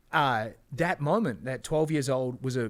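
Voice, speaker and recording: A man with a New Zealand accent, medium pitch and ordinary pitch variation, in a very clean recording with a silent background. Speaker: entrepreneur and business coach. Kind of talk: podcast interview. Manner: casual, filler-heavy.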